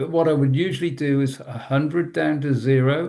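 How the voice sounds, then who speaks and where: A man with a British accent, medium in pitch, dark and mellow in tone, at a moderate pace. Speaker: trauma trainer. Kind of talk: webinar presentation. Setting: online webinar.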